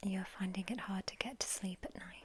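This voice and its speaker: A woman whispering in a calm, gentle tone at a fairly slow pace. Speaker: ASMR roleplay sleep doctor. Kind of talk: ASMR sleep clinic roleplay, soft-spoken talk to the listener. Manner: soft-spoken, calm, gentle.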